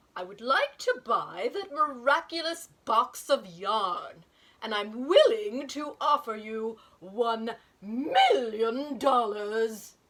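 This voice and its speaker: A woman puts on a pompous character voice, high in pitch, with lively intonation. She speaks at a very slow pace with big swings in loudness. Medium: read story. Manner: pompous, demanding.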